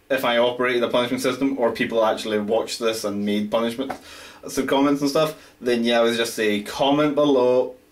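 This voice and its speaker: A man with a Scottish accent and a medium pitch, talking at a fairly quick pace over noticeable background noise. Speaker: amateur writer. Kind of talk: casual vlog talk to camera.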